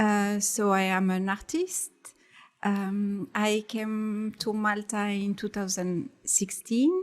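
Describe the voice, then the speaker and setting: A woman with a French accent at a medium pitch, with fairly even intonation and a very slow pace, on a very clean recording with a silent background. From France. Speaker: artist. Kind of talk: casual chat. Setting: studio. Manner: halting.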